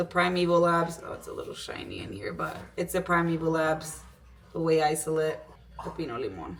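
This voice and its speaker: Fairly quick speech from a woman, with big swings in loudness, audible room echo, and noticeable background noise. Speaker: fitness vlogger. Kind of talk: casual vlog talk. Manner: casual, filler-heavy; code-switching between English and Spanish.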